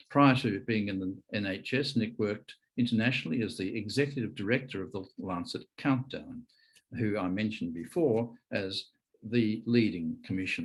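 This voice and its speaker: A man talks at a moderate pace with an Australian accent. His pitch is fairly low and varies in an ordinary way. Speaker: conference chair, physician. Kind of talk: speaker introduction.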